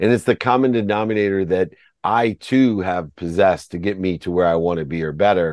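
Speaking at a fairly quick pace over a quiet background, a man's very deep, low voice moves with ordinary pitch variation in a dry, close sound with no echo. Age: 50s. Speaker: entrepreneur and author. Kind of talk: interview. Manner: animated.

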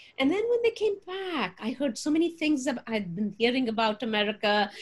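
Somewhat breathy, a woman with a Punjabi accent speaks with very wide pitch swings. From Punjab, India. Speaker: religion professor. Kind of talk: interview. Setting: video call.

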